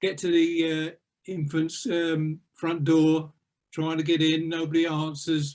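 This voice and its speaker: A man with an Essex accent, fairly high-pitched for a man, at a fairly slow pace. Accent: southern English (Essex). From Essex, England. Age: 70s. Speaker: retired police officer and magistrate. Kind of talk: life story interview.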